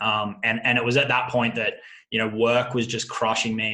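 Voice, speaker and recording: A man talks in an Australian accent at a fairly quick pace. His tone is bright and sharp. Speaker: affiliate marketer. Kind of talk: interview. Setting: call. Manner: frequent fillers and repetitions.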